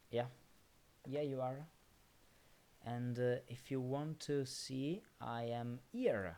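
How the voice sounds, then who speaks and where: Speaking very slowly with long, frequent pauses, a man with a non-native accent has a medium pitch, ordinary pitch variation and a dark, mellow tone. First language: not English. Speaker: streamer solving sudoku puzzles. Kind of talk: live stream chat. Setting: live stream. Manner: halting, many fillers.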